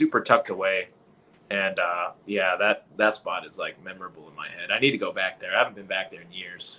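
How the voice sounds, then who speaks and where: Loudness swings widely as a man with an American accent speaks at a fairly quick pace. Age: 20s. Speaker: soldier and fishing content creator. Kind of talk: casual live-stream chat. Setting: live online stream.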